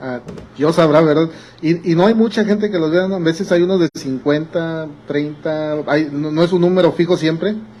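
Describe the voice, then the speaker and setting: There is noticeable background noise as a man with a fairly high pitch talks at a moderate pace with ordinary pitch variation. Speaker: pastor. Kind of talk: sermon. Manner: halting.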